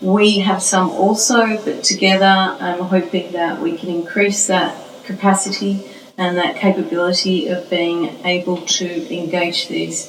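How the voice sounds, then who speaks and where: In an Australian accent, a woman speaks at a fairly slow pace with a medium pitch and fairly even intonation. Audible room echo and noticeable background noise are in the recording. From Australia, Melbourne. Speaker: professor. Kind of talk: interview.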